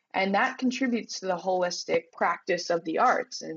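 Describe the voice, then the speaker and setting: Delivered at a fairly quick pace with lively intonation, this is a plain, everyday voice. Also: woman. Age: 20s. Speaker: arts writer. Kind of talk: casual chat.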